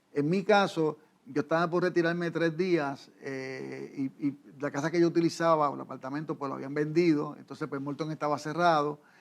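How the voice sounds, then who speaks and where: A man with a fairly high voice talks at a moderate pace, his intonation fairly even. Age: 60s. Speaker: pastor. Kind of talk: interview. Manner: halting.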